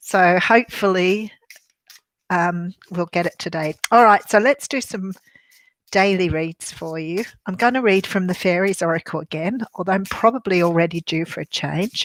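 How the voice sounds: A woman with a husky voice and an Australian accent speaks at a fairly low pitch with ordinary pitch variation, in a dry, close sound with no echo.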